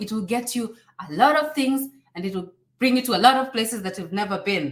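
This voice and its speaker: A woman speaks with a Kenyan accent at a fairly high pitch. Her pace is moderate and her intonation lively. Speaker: YouTuber and immigration advisor. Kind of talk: live stream Q&A. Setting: live stream. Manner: animated.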